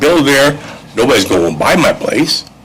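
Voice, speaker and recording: A man talks at a fairly quick pace. There is audible room echo and noticeable background noise. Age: 70s. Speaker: local resident speaking at public hearing. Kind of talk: public comment.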